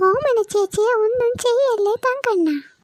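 A woman does a squeaky cartoonish character voice, extremely high in pitch with ordinary pitch variation, at a fairly slow pace. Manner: teasing, familiar.

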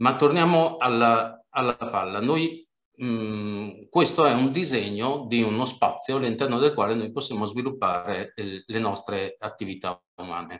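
Lively intonation marks a man's fairly slow speech. The background is quiet. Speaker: speaker on sustainability; speaker. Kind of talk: webinar presentation with slides. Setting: video call. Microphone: video call.

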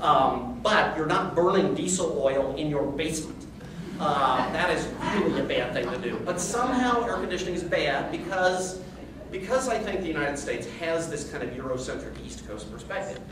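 Moderate pace, with noticeable background noise and audible room echo. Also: man. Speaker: conference speaker. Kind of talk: talk to audience. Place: meeting room. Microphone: camera far.

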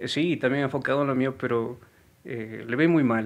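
A man at a medium pitch, moderate pace and ordinary pitch variation. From Ecuador, Guaranda (Bolívar). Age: 30s. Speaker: singer, tribute contestant. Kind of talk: interview.

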